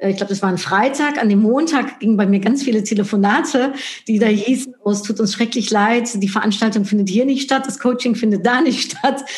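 This woman talks at a fairly quick pace with very even loudness. Noticeable background noise sits behind her. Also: fairly high pitch for a woman, ordinary pitch variation. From Netherlands. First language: Dutch (speaking German). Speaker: marketing expert and speaker. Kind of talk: interview.

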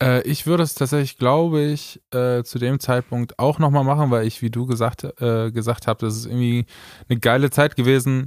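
Moderately paced and fairly even in intonation, a man with a plain, everyday voice at medium pitch is heard in a very clean recording with a silent background and a dry, close sound with no echo. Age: 20s. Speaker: singer and podcast co-host. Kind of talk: casual chat.

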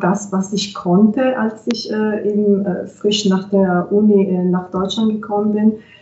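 Noticeable background noise sits under a woman with an Italian accent. Her pitch is medium and her pace fairly slow. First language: Italian (speaking German). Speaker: translator and interpreter. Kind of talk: interview.

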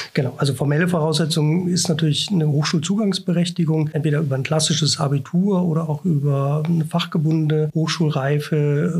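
A man talks at a fairly high pitch and a fairly quick pace, with hardly any pauses. His intonation is monotone and flat, his loudness is very even, and background noise is noticeable. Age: 40s. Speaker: professor. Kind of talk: interview. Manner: hesitant, many filler sounds.

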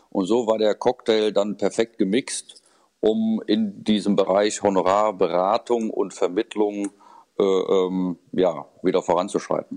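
This man has a fairly low pitch and a fairly even intonation. He talks at a fairly slow pace, his loudness very even. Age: 50s. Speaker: fee-only financial adviser. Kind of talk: interview. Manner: hesitant, many fillers.

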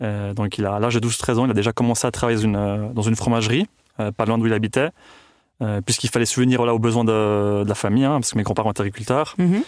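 On a very clean recording with a silent background, a man speaks at a very fast pace and medium pitch, with fairly even intonation and very even loudness. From Tuscany, Italy. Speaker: cheesemaker. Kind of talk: interview. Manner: halting.

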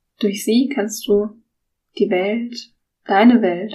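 Calm and soothing in tone, a woman speaks at a very slow pace with a fairly high pitch and a somewhat breathy quality. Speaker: podcast host and guided meditation leader. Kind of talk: guided meditation. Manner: slow, soft-spoken, calm and soothing with long pauses.

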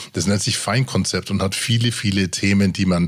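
Here a man speaks at a fairly low pitch. His pace is fairly quick and his intonation fairly even. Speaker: podcast host and producer. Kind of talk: casual chat. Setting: studio.

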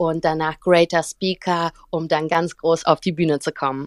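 Speaking at a fairly slow pace in a monotone, flat intonation, a woman with a fairly low pitch sounds dry and close, with no echo. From Germany (Cologne), born in St. Petersburg. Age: 20s. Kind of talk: casual interview. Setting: live audio room. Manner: warm and bright.

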